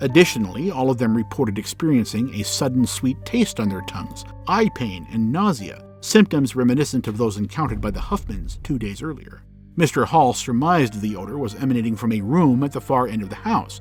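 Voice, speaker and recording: With music in the background, a man at a medium pitch talks at a fairly quick pace with lively intonation and hardly any pauses. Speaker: podcast narrator. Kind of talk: documentary history narration. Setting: home recording booth.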